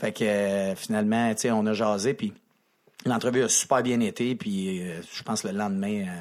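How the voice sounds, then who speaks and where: On a very clean recording with a silent background, a man speaks in a normal speaking voice, fairly low and fairly slow, with fairly even intonation. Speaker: hockey coach. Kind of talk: casual chat.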